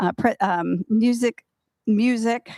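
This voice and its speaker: In a very clean recording with a silent background, a woman with a fairly high pitch and ordinary pitch variation speaks in an ordinary speaking voice. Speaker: retirement community staff presenter. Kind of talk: community meeting announcements.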